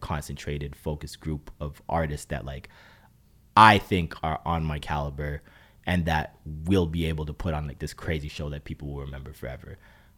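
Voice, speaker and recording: Very deep, low-pitched man's voice with a Toronto accent, fairly quick and monotone with flat intonation, on a very clean recording with a silent background. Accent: Toronto Canadian English. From Brampton, Ontario, Canada. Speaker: musician. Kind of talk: interview. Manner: casual, hesitant with many fillers.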